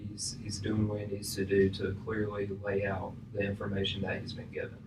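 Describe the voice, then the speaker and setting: Against noticeable background noise, a man speaks fairly quickly in a fairly low, monotone voice with flat intonation. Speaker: college student. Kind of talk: class discussion.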